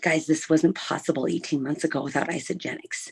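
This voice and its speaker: Whispering, a woman keeps to a moderate pace. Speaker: network marketing team member. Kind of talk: testimony. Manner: normally loud.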